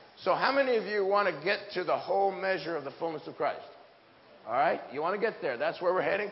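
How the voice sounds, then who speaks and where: Speaking at a very fast pace, a man with an American accent uses a high pitch and lively intonation. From US Pacific Northwest. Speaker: preacher. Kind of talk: sermon. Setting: church with audience. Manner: animated; humorous.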